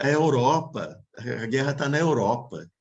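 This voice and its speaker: A man speaks with vocal fry. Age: 60s. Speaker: Buddhist teacher. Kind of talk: dharma talk Q&A. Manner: halting.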